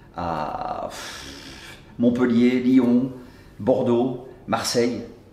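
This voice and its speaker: Very slowly, a man speaks amid noticeable background noise. Room echo is audible too. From Brussels, Belgium. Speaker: comedian. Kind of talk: interview.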